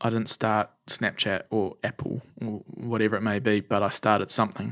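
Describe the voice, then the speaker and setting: A man's medium-pitched voice in a New Zealand accent, with fairly even intonation, on a very clean recording with a silent background. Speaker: charity founder. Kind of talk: interview conversation.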